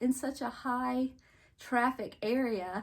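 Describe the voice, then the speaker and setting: A woman's high-pitched voice with a North Carolina accent. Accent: North Carolina Southern. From North Carolina coast, US South. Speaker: home decor vlogger. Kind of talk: casual vlog chat. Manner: rambling conversational, chatty.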